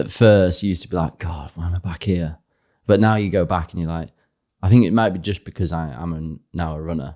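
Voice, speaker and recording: In a Yorkshire accent, a man talks at a fairly quick pace with a very deep, low pitch and a dark, mellow tone. His pitch variation is ordinary, and the recording is very clean against a silent background. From northern England, Harrogate, Yorkshire. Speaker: ultra runner. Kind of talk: interview conversation.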